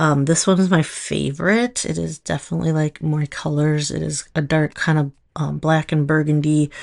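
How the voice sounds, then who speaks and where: A woman speaks in a Minnesotan accent at a very deep, low pitch. Her pace is fairly slow, and the background is quiet. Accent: Minnesota. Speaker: nail polish stylist, video creator. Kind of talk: casual tutorial. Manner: casual, hesitant with fillers.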